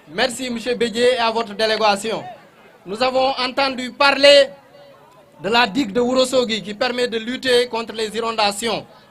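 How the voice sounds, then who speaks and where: Noticeable background noise sits behind a man's extremely high voice. He speaks at a moderate pace with fairly even intonation. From Senegal, Fouta region (Nabadji). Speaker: official speaker at a ceremony. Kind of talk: formal ceremonial speech. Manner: formal.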